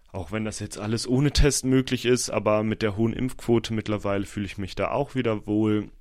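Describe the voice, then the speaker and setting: Talking at a fairly quick pace, a man with an unremarkable speaking voice keeps a fairly low pitch and fairly even intonation. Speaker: podcaster and university student. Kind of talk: casual solo podcast monologue.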